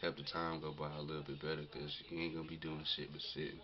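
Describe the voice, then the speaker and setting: Background noise is clearly noticeable. Over it, a man talks with an American accent. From North Carolina. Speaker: vlogger, military enlistee. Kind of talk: casual vlog. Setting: self-recorded camera video. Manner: hesitant, many fillers.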